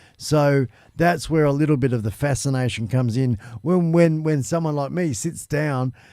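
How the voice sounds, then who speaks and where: This man has a dark, mellow tone and an Australian accent. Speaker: live stream talk show host. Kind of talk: casual chat.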